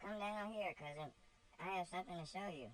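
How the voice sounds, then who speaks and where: Over clear background noise, a man puts on a high-pitched character voice and speaks at a fairly quick pace. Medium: read story. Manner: light, bantering.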